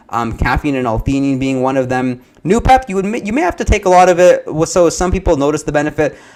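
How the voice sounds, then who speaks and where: A man's fairly high voice at a very fast pace, with lively intonation and hardly any pauses. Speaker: supplement reviewer, livestream host. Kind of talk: live Q&A stream.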